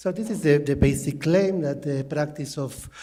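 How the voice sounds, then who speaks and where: A man's fairly high voice with a dark, mellow tone, ordinary pitch variation, a fairly slow pace, a non-native accent, and audible room echo. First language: not English. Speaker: linguist. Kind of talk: conference talk. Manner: halting.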